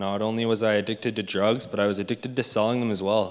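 A man with a Canadian accent speaks at a fairly low pitch, with audible echo in the room. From Alberta, Canada. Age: 20s. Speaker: recovering addict in rehab program. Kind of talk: testimony. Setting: church.

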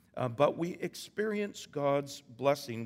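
A man with a Canadian accent. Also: very clean recording, silent background. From Canada, Vancouver Island. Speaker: pastor. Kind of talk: sermon. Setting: church. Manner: halting.

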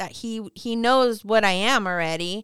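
Loud and bright with a sharp tone, a woman with a fairly high pitch and ordinary pitch variation speaks at a very slow pace, the sound dry and close with no echo on a very clean recording with a silent background. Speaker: guest. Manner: loud, talkative.

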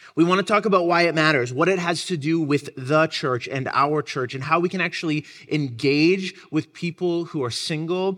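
An unremarkable speaking voice from a man at a moderate pace, with ordinary pitch variation, in a very clean recording over a silent background. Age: 20s. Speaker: pastor. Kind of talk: sermon.

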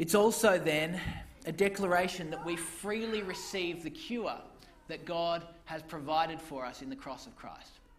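A man's high-pitched voice with ordinary pitch variation at a moderate pace, in audible room echo. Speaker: preacher. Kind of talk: sermon.

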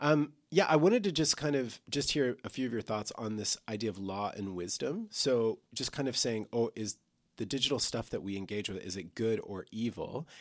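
With lively intonation, a man at medium pitch talks in an ordinary speaking voice. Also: moderate pace. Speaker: church podcast co-host. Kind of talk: casual chat.

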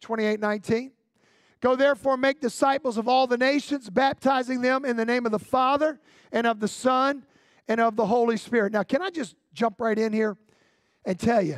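A man speaks in an extremely high pitch at a moderate pace, with an animated tone and ordinary pitch variation. The recording is very clean with a silent background and a dry, close sound with no echo. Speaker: pastor. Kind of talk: sermon. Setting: church with congregation. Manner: animated, call-and-response preacher delivery.

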